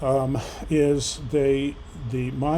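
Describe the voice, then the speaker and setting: A man talks at a medium pitch with fairly even intonation. Noticeable background noise runs underneath. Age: 60s. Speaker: patient sharing surgery experience. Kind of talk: personal vlog tutorial. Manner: halting, many fillers.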